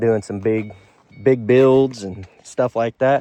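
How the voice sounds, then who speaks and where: In an Alabama accent, a man speaks at medium pitch with a dark, mellow tone and fairly even intonation, in a dry, close sound with no echo. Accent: Southern US (Alabama). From Alabama (US South). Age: 20s. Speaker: auto mechanic and car vlogger. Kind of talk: casual vlog chat. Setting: in a car. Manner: hesitant, many fillers.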